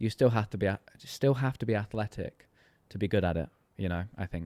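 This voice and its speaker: Speaking fairly quickly with an English accent, a man has a fairly low pitch and a dark, mellow tone, recorded with a dry, close sound and no echo. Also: ordinary pitch variation. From rural England. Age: 30s. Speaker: golf coach. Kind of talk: casual interview chat.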